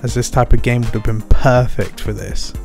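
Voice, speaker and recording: The speaker is quiet, at a moderate pace with ordinary pitch variation. Music plays in the background. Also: man. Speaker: game reviewer. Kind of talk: video game review narration.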